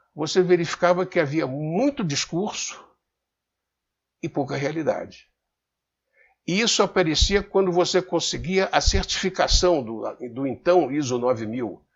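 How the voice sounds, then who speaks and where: A man with a Rio de Janeiro accent and a high pitch speaks at a fairly slow pace, his pitch swinging very widely. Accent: carioca (Rio). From Rio de Janeiro, Brazil. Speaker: business commentator. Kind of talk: casual talk to camera. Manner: halting, repeats words.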